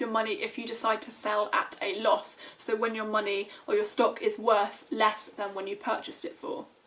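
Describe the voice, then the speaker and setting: Over noticeable background noise, a woman speaks fairly quickly with a British accent. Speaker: finance YouTuber. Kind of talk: tutorial. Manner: fast; casual with fillers.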